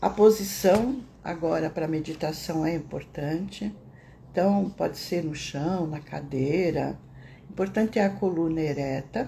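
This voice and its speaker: A soft-spoken woman's fairly low, dark, mellow voice with vocal fry, at a fairly slow pace and with ordinary pitch variation. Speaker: meditation teacher. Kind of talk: casual teaching talk; guided meditation.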